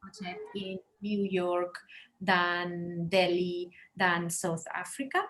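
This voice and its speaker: A woman speaks with a Spanish accent in a somewhat breathy voice. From Spain, Barcelona. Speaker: interior designer. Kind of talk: webinar presentation. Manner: halting.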